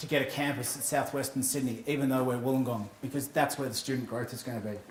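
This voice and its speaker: With an Australian accent, a man at medium pitch speaks with fairly even intonation amid noticeable background noise and audible room echo. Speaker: university AV manager. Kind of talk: conference presentation. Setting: stage with audience. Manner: fast.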